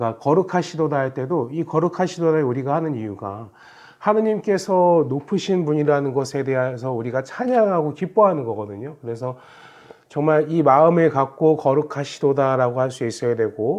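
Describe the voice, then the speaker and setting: An unremarkable speaking voice from a man, fairly high in pitch, with lively intonation at a fairly quick pace. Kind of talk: Bible quiz explanation talk. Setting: recorded video.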